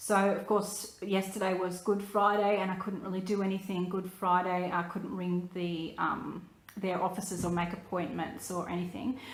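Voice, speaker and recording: A woman with an Australian accent, monotone and flat in intonation, hardly any pauses, audible room echo around her. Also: medium pitch for a woman, moderate pace. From Australia (New South Wales). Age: 30s. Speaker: vlogger, photographer. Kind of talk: personal vlog. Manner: hesitant, many fillers.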